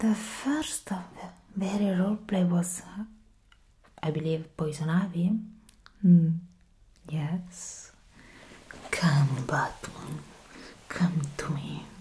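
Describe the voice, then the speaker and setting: Soft-spoken and fairly low in pitch, a woman talks very slowly with long, frequent pauses, ordinary pitch variation and big swings in loudness over light background noise. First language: not English. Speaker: ASMR content creator. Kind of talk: soft-spoken ASMR ramble. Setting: home recording at a desk. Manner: giggly, rambling. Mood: grateful, playful. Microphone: studio mic.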